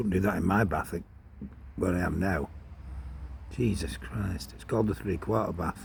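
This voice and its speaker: Vocal fry marks this man's voice as he speaks at a moderate pace with long, frequent pauses. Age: 60s. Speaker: vlogger. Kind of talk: casual monologue. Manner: rambling conversational.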